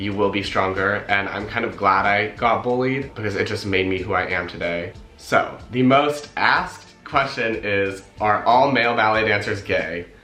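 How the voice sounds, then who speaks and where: Music plays in the background as a man with an American accent talks at a moderate pace with hardly any pauses. His pitch is fairly low, with ordinary pitch variation. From Los Angeles, California. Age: young. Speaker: ballet dancer. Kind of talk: casual talk to camera.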